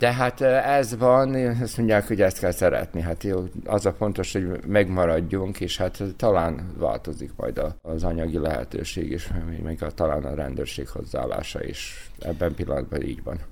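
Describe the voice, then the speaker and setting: Using vocal fry, a man with a very deep, low pitch speaks at a fairly slow pace with lively intonation. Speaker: cycling race organizer. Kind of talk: radio interview.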